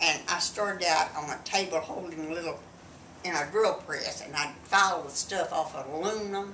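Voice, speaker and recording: A woman with a fairly low pitch and ordinary pitch variation talks at a moderate pace. The recording carries audible room echo and noticeable background noise. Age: 80s+. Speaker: grandmother, wartime factory worker. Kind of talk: casual chat.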